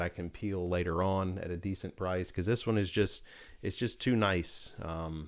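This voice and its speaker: A man speaks with an American accent in a very deep, low pitch. His intonation is fairly even, and the recording is very clean with a silent background. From United States. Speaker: vinyl record collector, YouTuber. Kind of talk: casual vlog, showing records. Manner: casual, many fillers (uh, um).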